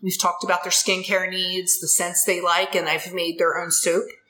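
Over music in the background, a woman with a Philadelphia accent talks at a medium pitch. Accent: Philadelphia-area American. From Delaware County, Pennsylvania (Ridley Township). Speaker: soap maker and small business owner. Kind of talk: casual interview.

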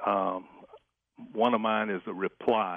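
Speaking at a very slow pace, a man has a fairly low pitch. He talks with an American accent. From Texas. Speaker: caller. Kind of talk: casual chat. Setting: phone call. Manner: halting.

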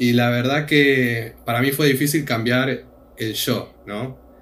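A man talks at a very slow pace in a medium pitch. Room echo is audible around his voice. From Argentina. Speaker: returned missionary, student. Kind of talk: casual chat.

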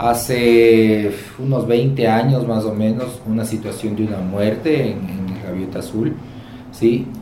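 Speaking at a fairly slow pace, a man with a medium pitch and ordinary pitch variation is heard over noticeable background noise and audible room echo. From Quito, Ecuador. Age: 40s. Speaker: motel owner. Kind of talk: interview. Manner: halting, repetitive fillers.

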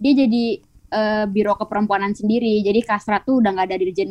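The delivery is fairly quick, in an ordinary speaking voice. Pitch variation is ordinary. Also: woman. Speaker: law student activist. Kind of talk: casual chat.

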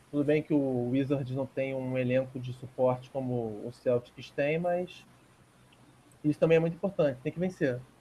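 A man talks at a moderate pace with medium pitch and ordinary pitch variation. His tone is dark and mellow, somewhat breathy. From Rio de Janeiro, Brazil. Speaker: basketball podcast co-host. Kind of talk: casual sports chat. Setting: remote call.

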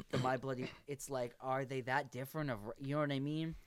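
A man talks in an ordinary speaking voice at a fairly quick pace. His pitch is fairly high and his intonation fairly even. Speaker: podcast host. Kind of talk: casual chat.

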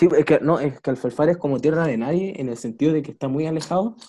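Speaking at a very fast pace, a man has a fairly high pitch, a dark, mellow tone and ordinary pitch variation. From Chile, La Serena. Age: 20s. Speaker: podcast host, student. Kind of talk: casual chat.

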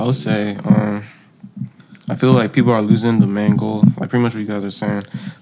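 The speaker is quiet and talks at a fairly quick pace with ordinary pitch variation. Noticeable background noise is present. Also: man, fairly low pitch for a man. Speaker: musician. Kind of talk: interview.

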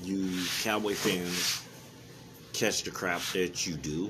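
A man with an American accent speaks at a very slow pace. Audible room echo surrounds his voice. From Palmdale, California. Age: 40s. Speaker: sports podcaster. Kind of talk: solo sports commentary podcast. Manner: casual, animated.

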